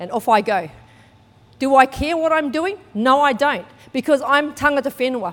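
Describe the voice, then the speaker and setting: A woman with a high pitch, lively intonation and big swings in loudness. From New Zealand. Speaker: church speaker sharing testimony. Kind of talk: sermon testimony. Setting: church.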